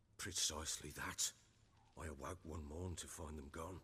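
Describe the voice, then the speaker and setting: In a put-on character voice, a man sounds raspy at a very deep, low pitch, keeping a monotone, flat intonation at a moderate pace over clear background noise. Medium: video game. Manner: gruff, blunt, commanding.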